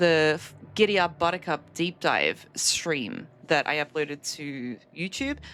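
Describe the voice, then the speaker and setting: The speech has vocal fry and lively intonation at a fairly slow pace, with hardly any pauses. The recording is very clean with a silent background. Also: woman, very deep, low pitch for a woman. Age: 30s. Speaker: video game streamer. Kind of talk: live gameplay stream chat. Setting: live stream.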